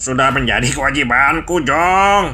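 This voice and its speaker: A man in a cartoonish character voice speaks at a fairly high pitch and a moderate pace over clear background noise. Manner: calm, steady.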